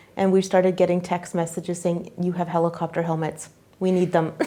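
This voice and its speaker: With a Canadian accent, a woman talks at a fairly quick pace in monotone, flat intonation over noticeable background noise. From Canada. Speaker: nurse and volunteer. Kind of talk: interview answer. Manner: casual, hesitant.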